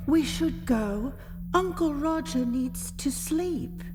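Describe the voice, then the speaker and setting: Loud music plays behind a woman doing a put-on character voice with a fairly high pitch at a very slow pace. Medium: audio drama. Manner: timid, hesitant.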